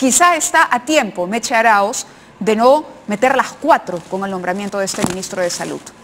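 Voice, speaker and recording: This woman has a plain, everyday voice. Her intonation is lively. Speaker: TV news host. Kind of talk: TV news commentary.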